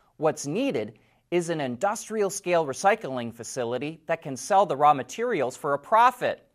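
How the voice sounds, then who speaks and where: The recording is very clean with a silent background, and the speech comes at a moderate pace. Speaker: car show host. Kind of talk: news reading.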